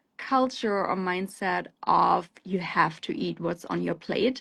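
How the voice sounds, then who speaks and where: A woman speaks with a German accent at a fairly slow pace. The background is quiet. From Germany. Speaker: plant-based food company founder and CEO. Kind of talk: interview on a live show. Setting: live stream.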